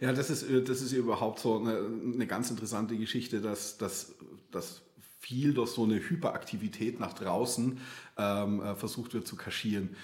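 A man talks at a moderate pace and a medium pitch, with ordinary pitch variation. Room echo is audible. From Bavaria, outskirts of Munich. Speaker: art therapist. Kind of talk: interview conversation. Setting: in-person studio, coaching room. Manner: hesitant, many fillers and repetitions.

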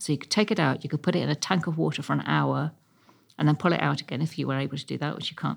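With a southern English accent, the voice has vocal fry and ordinary pitch variation on a very clean recording with a silent background. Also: woman. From London (Chelsea and Ealing). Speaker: architectural historian and local councillor. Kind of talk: interview.

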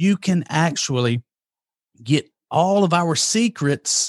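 An energetic man with a high pitch, very wide pitch swings and a Southern US accent, in a dry, close sound with no echo over a quiet background. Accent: southern drawl. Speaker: marketing agency CEO and author. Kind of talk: interview. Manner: rambling pace.

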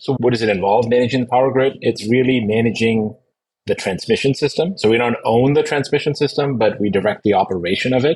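A man with a somewhat breathy voice at medium pitch, very fast pace, ordinary pitch variation and very even loudness. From Middle East. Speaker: energy executive. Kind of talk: interview.

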